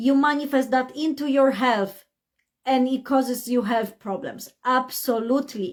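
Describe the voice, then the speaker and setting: With a Polish accent, a woman talks at a fairly slow pace and a high pitch. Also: very clean recording, silent background. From Poland. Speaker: life coach. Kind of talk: motivational talk on a live stream. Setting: Facebook live stream. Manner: animated.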